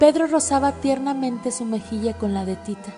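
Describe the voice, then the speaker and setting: A woman talks at a moderate pace over background music. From Mexico. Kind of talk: audiobook reading of a novel. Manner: narrative reading.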